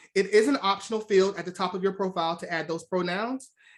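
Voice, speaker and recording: At a fairly quick pace, a woman speaks at medium pitch with ordinary pitch variation. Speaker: recruiter / presenter. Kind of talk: webinar presentation. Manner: fast.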